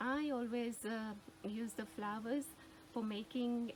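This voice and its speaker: A woman with a Gujarati accent speaks at a fairly slow pace, her fairly high pitch showing ordinary pitch variation. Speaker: gardening YouTuber. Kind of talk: tutorial. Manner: hesitant, searching for words.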